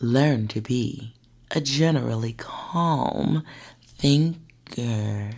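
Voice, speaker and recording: The speaker is soft-spoken. The pace is very slow. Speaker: ASMR narrator. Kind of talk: soft-spoken ASMR narration. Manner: soft-spoken, calming.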